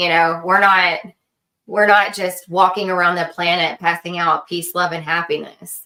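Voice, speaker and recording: A woman with an American accent, bright, sharp tone and monotone, flat intonation at a moderate pace. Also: fairly low pitch for a woman. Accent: Texan, sometimes noticeable. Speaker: podcast co-host. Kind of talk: casual chat.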